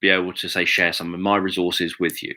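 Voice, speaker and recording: A man's bright, sharp voice with a British accent, on a very clean recording with a silent background. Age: 40s. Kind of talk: live video monologue. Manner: monotone.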